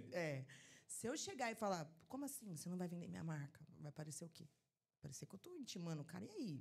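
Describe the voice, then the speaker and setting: A woman's fairly low, somewhat breathy voice, animated in tone, very fast, with very wide pitch swings. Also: big swings in loudness. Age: 30s. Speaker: trade marketing supervisor. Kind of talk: podcast interview.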